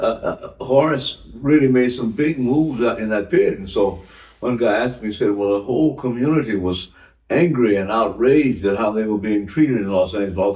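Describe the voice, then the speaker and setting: A man's dark, mellow voice at a fairly quick pace, with ordinary pitch variation, on a very clean recording with a silent background. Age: 80s+. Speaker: jazz cornetist and composer. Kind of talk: interview answer.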